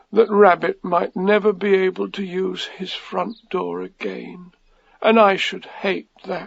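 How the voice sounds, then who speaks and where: A man in a put-on character voice speaks at a high pitch and a fairly slow pace. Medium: read story.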